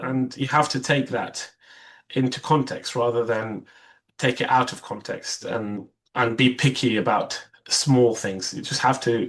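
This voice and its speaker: Speaking with a non-native accent, a man of medium pitch keeps a fairly slow pace and fairly even intonation. The background is quiet. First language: Arabic. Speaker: vascular surgery trainee. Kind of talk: interview. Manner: hesitant, many fillers and restarts.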